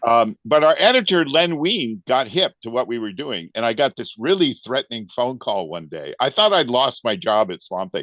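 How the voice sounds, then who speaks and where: Speaking at a moderate pace with hardly any pauses, a man with a medium pitch sounds animated, his voice swinging very widely in pitch, in a dry, close recording with no echo. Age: 70s. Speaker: comic book artist. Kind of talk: casual interview chat. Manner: animated storytelling.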